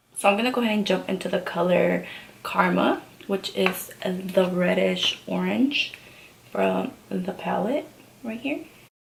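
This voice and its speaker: A woman talks at a fairly slow pace while noticeable background noise carries on. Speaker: beauty vlogger. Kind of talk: tutorial. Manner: soft-spoken.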